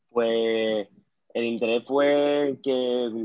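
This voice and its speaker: A man speaks at medium pitch in a monotone, flat way. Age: 20s. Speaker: powerlifter. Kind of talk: interview.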